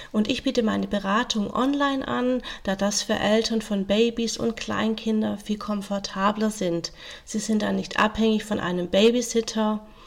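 Here is a woman with a fairly high pitch and an ordinary speaking voice. Her intonation stays fairly even. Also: moderate pace. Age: 40s. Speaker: social worker and family counsellor. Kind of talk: interview.

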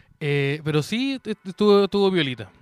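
This man has a high pitch and a bright, sharp, animated tone, with lively intonation. He talks at a fairly quick pace in a dry, close sound with no echo. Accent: Chilean. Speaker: comedy podcast co-host. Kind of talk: casual chat.

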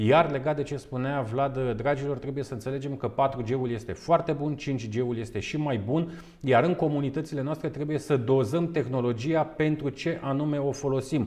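A man talks with an unremarkable speaking voice at a moderate pace. His pitch is fairly high and his intonation fairly even. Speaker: webinar host. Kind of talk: webinar interview. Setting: online webinar with on-location segment.

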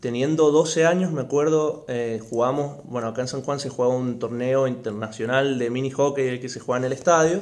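This man has an unremarkable speaking voice at a medium pitch. He talks at a fairly quick pace with fairly even intonation and hardly any pauses. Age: 20s. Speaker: lawyer, former hockey player. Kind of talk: casual chat.

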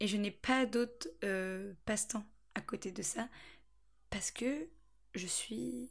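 Somewhat breathy and fairly high-pitched, a woman speaks very slowly with lively intonation and long, frequent pauses. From France, Angers area (Anjou). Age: 20s. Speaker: podcast host, student. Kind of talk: solo monologue podcast. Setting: at parents' home. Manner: chatty, frequent laughter.

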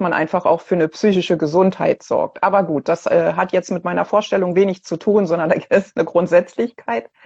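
A woman speaks in a dark, mellow tone with fairly even intonation. Her pace is moderate, with hardly any pauses. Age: 50s. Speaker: cancer patient. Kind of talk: casual chat. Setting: video call.

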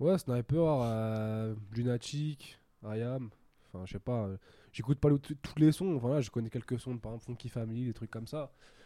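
Speaking with a dark, mellow tone, a man keeps a moderate pace and ordinary pitch variation. The recording is very clean, with a silent background. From France, Paris suburbs (Sarcelles), Algerian heritage. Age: 20s. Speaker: business school student. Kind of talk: casual interview. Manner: hesitant, many fillers.

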